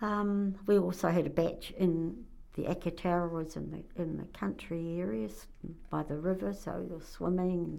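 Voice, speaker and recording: The pace of speech is fairly slow. An accent from New Zealand comes through. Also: woman. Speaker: interviewee. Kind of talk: casual interview chat.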